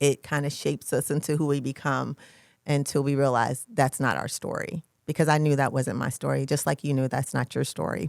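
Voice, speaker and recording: On a very clean recording with a silent background and a dry, close sound with no echo, a woman speaks with an American accent and vocal fry. Her pitch is very deep and low, her intonation fairly even, and her pace fairly quick. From US South, Georgia. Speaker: podcast host. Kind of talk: casual chat.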